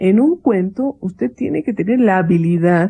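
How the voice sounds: With a dark, mellow tone and a slightly husky edge, a woman talks at a moderate pace with ordinary pitch variation.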